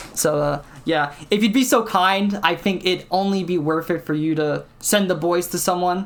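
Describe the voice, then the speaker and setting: Noticeable background noise runs under a woman's voice. She speaks fairly low, with ordinary pitch variation. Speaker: streamer hosting a gaming interview. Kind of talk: casual interview chat on stream. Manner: loud.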